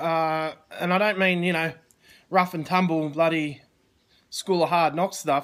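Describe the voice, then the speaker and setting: A man with an Australian accent speaks at a moderate pace in a high, monotone voice with flat intonation. The recording is very clean, with a silent background. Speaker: online business coach. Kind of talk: live stream chat. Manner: casual, halting.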